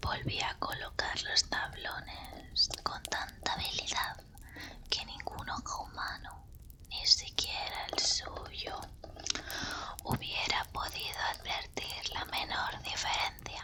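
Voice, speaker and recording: Whispering in a theatrical tone at a very slow pace, a woman is heard over noticeable background noise. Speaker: ASMR content creator. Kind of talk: ASMR horror story reading. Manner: whispered, expressive, theatrical; slow, calm.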